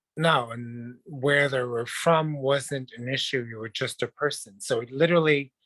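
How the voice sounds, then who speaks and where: A man with a French Canadian accent speaks at a fairly high pitch and a fairly slow pace, his bright, sharp tone carrying fairly even intonation in a dry, close sound with no echo. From Quebec, Montreal. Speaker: dancer, actor and model. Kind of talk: interview.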